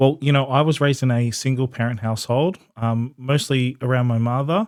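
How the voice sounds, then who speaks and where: At a fairly quick pace, a man with an Australian accent speaks at a medium pitch with ordinary pitch variation. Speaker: podcast co-host, breath coach. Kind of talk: casual interview chat.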